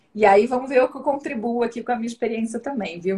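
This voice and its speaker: In a Rio de Janeiro accent, this somewhat breathy voice keeps a fairly even intonation. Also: woman. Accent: carioca. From Brazil, Rio de Janeiro. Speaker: data analytics director, economist. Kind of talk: live stream interview. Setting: online live stream. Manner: casual, many fillers.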